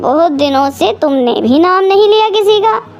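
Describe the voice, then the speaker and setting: Cartoonish character voice at an extremely high pitch, with light background noise. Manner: mild, reasonable.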